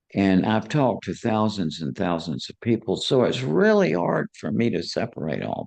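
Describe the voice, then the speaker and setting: This man's voice sits fairly low, with vocal fry, lively intonation and big swings in loudness. He keeps a moderate pace with hardly any pauses. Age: 80s+. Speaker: psychiatrist and near-death experience researcher. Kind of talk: interview. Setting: live online event with audience.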